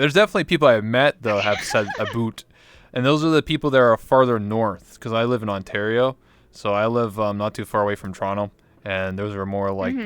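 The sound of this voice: A man speaks very fast with a Canadian accent at a medium pitch. The sound is dry and close, with no echo. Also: ordinary pitch variation.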